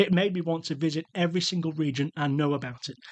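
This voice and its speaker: A man with a British accent at a very fast pace, fairly high in pitch with ordinary variation, in a dry, close recording with no echo. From UK. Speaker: travel podcast host. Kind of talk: podcast monologue.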